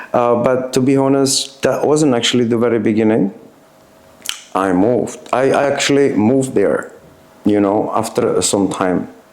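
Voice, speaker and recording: A man's voice comes with audible room echo and noticeable background noise. His loudness stays very even. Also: medium pitch for a man, ordinary pitch variation, moderate pace. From Czech Republic, Teplice (North Bohemia). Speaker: former punk, interview subject. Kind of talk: casual interview. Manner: halting, many fillers.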